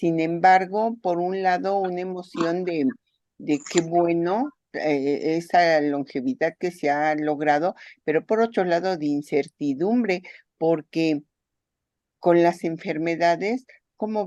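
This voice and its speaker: The voice has a dark, mellow tone and ordinary pitch variation, moving at a very slow pace. The sound is dry and close with no echo, over a quiet background. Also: woman, fairly low pitch for a woman. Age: 60s. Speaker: participant in an online talk. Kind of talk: casual discussion.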